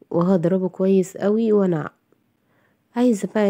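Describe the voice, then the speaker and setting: In an Egyptian accent, a woman speaks with a dark, mellow tone and fairly even intonation. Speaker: cooking channel host. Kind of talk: cooking tutorial. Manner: casual, chatty.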